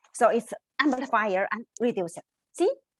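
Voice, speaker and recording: This voice has a Chinese accent. The sound is dry and close, with no echo. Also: woman. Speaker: researcher. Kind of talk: conference presentation. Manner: halting.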